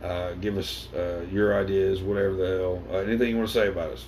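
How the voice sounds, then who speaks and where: Audible room echo hangs around the voice. It belongs to a man. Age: 30s. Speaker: podcast co-host. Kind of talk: casual chat.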